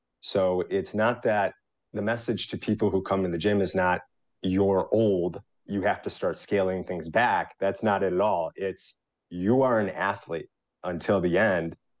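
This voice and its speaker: This is a normal speaking voice against a quiet background. The pace is fairly slow and the intonation fairly even. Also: man, fairly low pitch for a man. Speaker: fitness business partner. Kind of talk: interview.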